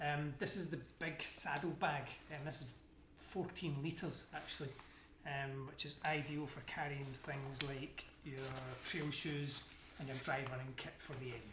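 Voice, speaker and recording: Over noticeable background noise, a man with a Scottish accent speaks at a moderate pace in a fairly high voice with fairly even intonation. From Scotland. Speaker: amateur endurance athlete. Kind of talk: casual talk to camera, gear review.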